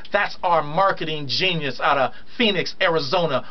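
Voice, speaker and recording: Over noticeable background noise and audible room echo, an animated voice moves with ordinary pitch variation. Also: man. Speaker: radio talk show host. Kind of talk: live radio chat. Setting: radio studio, also streamed on video. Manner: fast.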